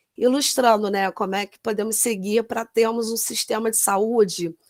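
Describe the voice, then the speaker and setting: A woman speaks at a fairly slow pace and a fairly high pitch, with ordinary pitch variation, in a plain, everyday voice. The recording is very clean with a silent background, and the sound is dry and close with no echo. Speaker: nurse. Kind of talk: lecture.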